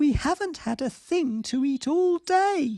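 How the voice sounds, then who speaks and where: In a put-on character voice, a female-sounding speaker goes at a fairly slow pace with a high pitch for a woman. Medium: read story.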